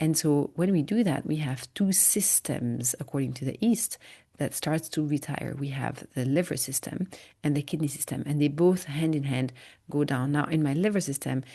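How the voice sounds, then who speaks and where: In a French accent, the speaker uses a dark, mellow tone with ordinary pitch variation. The pace is moderate and the background quiet. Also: woman, very deep, low pitch for a woman. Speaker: migraine educator and podcast host. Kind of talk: interview. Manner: many fillers and hesitations.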